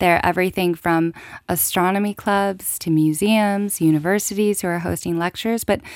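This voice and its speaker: A woman speaks with a West Coast American accent at a medium pitch. Her intonation stays fairly even on a very clean recording with a silent background. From California. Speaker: non-profit event organizer. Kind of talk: studio radio interview. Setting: studio.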